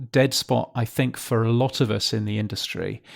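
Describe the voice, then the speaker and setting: In a British accent, the speaker talks at a fairly slow pace with monotone, flat intonation, captured in a very clean recording with a silent background. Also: man. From Britain. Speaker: podcast newsletter publisher. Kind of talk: interview. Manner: halting, many fillers.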